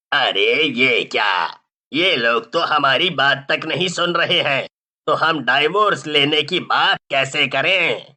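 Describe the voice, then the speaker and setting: Using a cartoonish character voice, a man talks at a fairly slow pace with fairly high pitch for a man. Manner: blustering, comic.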